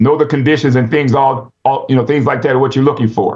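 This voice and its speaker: A fairly high-pitched man, somewhat breathy, at a fairly quick pace. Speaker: Adventist speaker on rural living. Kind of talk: instructional talk. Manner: fast; halting, many fillers.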